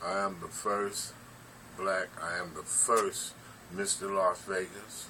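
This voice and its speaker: Over noticeable background noise, a man with a fairly low pitch talks at a very slow pace. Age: 60s. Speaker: former bodybuilder. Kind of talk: casual interview.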